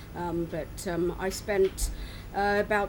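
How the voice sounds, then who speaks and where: A woman with an American accent speaks, and room echo is audible. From US, Philadelphia area. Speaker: expat resident. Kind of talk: casual interview chat. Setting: outdoors at harbourside restaurant.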